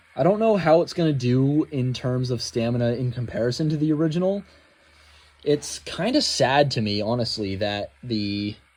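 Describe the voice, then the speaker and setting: Over background music, a man speaks with lively intonation. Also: medium pitch for a man, moderate pace. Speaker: toy collector YouTuber. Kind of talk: unboxing review. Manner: casual with many fillers.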